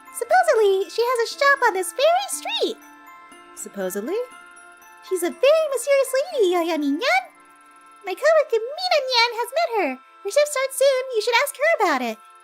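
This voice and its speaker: Clear music plays in the background as a woman performs a put-on character voice, squeaky, bubbly and extremely high-pitched, with long, frequent pauses. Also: moderate pace. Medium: virtual streamer. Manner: cutesy, bubbly, ends lines with nyan.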